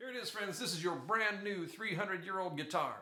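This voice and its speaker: A man uses a put-on character voice at a high pitch. His pace is fairly quick. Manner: pushy, excited sales pitch.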